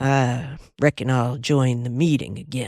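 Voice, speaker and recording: Drawling at a fairly slow pace, the speaker puts on a character voice in a Southern US accent, with a low-to-middle pitch. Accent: Southern drawl. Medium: read story. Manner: drawling, amiable.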